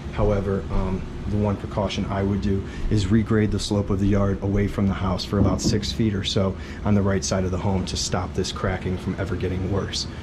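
Noticeable background noise behind a man speaking at a fairly quick pace. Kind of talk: walkthrough explanation to a client. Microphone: phone near.

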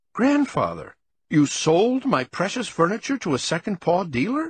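Against a quiet background, a man uses a squeaky, high-pitched put-on character voice with very wide pitch swings at a moderate pace. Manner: shocked, upset.

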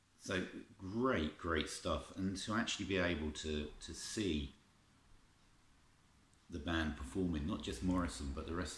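A man talks at a moderate pace with vocal fry and ordinary pitch variation. Room echo is audible. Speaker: collector reviewing music tapes. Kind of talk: casual vlog chat. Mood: nostalgic, enthusiastic. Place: home room.

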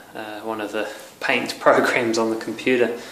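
Low-ish in pitch, a man speaks in a monotone, flat intonation. Room echo is audible, along with light background noise. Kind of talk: casual vlog chat. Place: empty room. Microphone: phone near.

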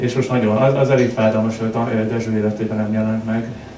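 A man talks at a moderate pace in a monotone, flat delivery. Noticeable background noise runs underneath. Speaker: literary editor. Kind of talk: panel discussion. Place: shop.

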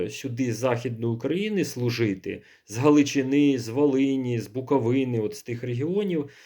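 A man speaks at a fairly slow pace in a dark, mellow tone with a fairly high pitch. The background is quiet. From central Ukraine. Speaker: priest. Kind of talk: video monologue. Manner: halting.

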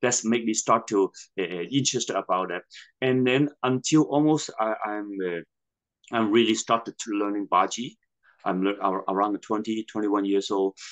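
Over a quiet background, a man with a Hong Kong accent talks at a fairly slow pace in a fairly low pitch with ordinary pitch variation. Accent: Hong Kong Cantonese-accented English. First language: Cantonese. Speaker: martial arts master and Buddhist priest; Buddhist priest. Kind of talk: interview. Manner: halting, repetitive phrasing. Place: home room. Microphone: video call.

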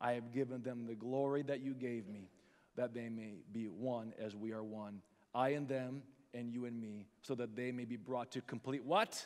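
Here a man uses a plain, everyday voice at a medium pitch. He keeps a moderate pace with fairly even intonation. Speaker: pastor. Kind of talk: sermon; fervent prayer, eyes-closed invitation to recommit. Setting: church with congregation. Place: stage. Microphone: headset.

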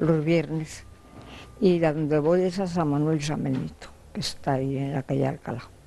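Over light background noise, a woman speaks at a very deep, low pitch and moderate pace with fairly even intonation. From Spain, Burgos; Spain. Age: 90s. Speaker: interviewee. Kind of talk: interview. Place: home room.

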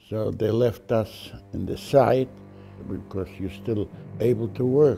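Music plays in the background as a man speaks. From Poland. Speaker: Holocaust survivor. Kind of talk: oral history interview answer.

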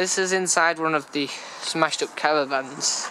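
Against light background noise, a man speaks with fairly even intonation in a dry sound with no echo. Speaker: urban explorer vlogger. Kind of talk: casual vlog chat. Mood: wary, slightly nervous. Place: street. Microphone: phone near.

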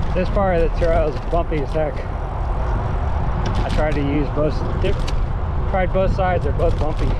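Moderate pace, dry sound with no echo, and loud background noise. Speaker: cyclist vlogger. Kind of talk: casual vlog chat. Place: bicycle. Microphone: phone near.

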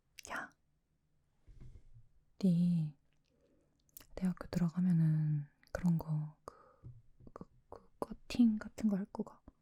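A woman with a fairly low pitch and a dark, mellow, somewhat breathy tone, at a very slow pace with long, frequent pauses, ordinary pitch variation and big swings in loudness. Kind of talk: role-play video-call ASMR talking to a friend. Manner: casual, chatty, friendly.

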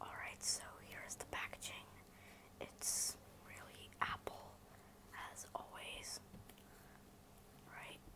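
Whispering, the speaker goes at a very slow pace. Long, frequent pauses break up the words. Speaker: unboxing creator. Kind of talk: ASMR unboxing. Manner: whispered. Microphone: phone near.

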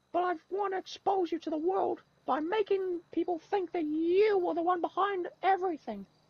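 An extremely high, put-on character voice is heard. It moves at a moderate pace. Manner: aggressive, bullying.

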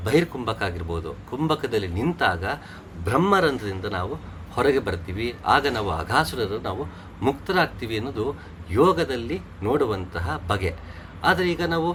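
The speaker is a man with a medium pitch. His pitch swings very widely. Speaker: spiritual teacher. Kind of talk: religious discourse. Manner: halting, effortful speech.

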